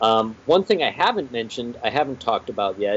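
A man with a plain, everyday voice, medium pitch, ordinary pitch variation, and an American accent. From Pittsburgh, Pennsylvania. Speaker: comic book writer and musician. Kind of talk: casual interview chat.

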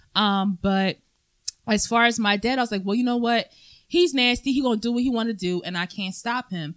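In a plain, everyday voice, a woman with an American accent speaks at a fairly quick pace, with a fairly high pitch and ordinary pitch variation. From Philadelphia, Pennsylvania. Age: 20s. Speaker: podcast guest. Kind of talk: casual chat.

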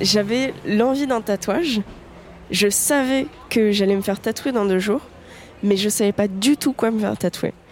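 Delivered at a fairly slow pace, the speech keeps very even loudness with ordinary pitch variation. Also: woman, fairly high pitch for a woman. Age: 20s. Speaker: tattoo enthusiast interviewee. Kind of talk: personal storytelling monologue. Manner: casual with frequent hesitations.

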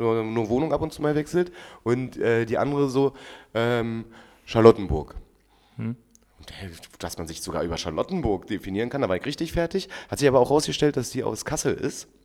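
A man at a medium pitch, with lively intonation, a fairly quick pace and long, frequent pauses. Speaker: podcast co-host. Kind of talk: casual chat.

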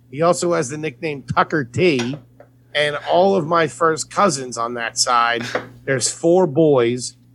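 A plain, everyday voice from a man, fairly high in pitch with ordinary pitch variation. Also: fairly slow pace. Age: 20s. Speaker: stand-up comedian. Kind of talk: casual chat.

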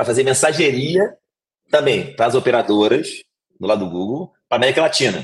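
A man speaks at a fairly quick clip with lively intonation and a slight Rio de Janeiro accent. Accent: slight carioca. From Rio de Janeiro, Brazil. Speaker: fintech executive. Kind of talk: interview. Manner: halting.

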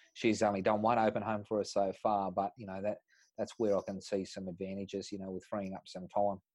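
A man speaks in a rural Australian accent at a fairly low pitch. His intonation is monotone and flat over a quiet background. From Tumut, rural New South Wales, Australia. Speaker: real estate agency principal. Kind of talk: interview.

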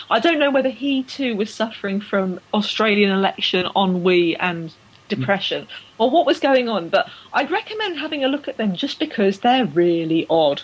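With an English accent, a woman speaks at a moderate pace and fairly high pitch, her voice making very wide pitch swings over noticeable background noise. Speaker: cycling podcast host. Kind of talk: casual banter chat.

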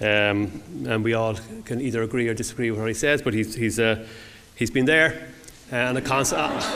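With an Irish accent, a man speaks at a medium pitch and fairly quick pace, though with long, frequent pauses. His intonation is fairly even, and background noise is noticeable. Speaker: event host. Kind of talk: introduction speech. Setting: stage with audience.

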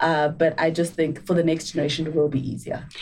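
A woman with a plain, everyday voice at a fairly quick pace. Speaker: actuary and entrepreneur.

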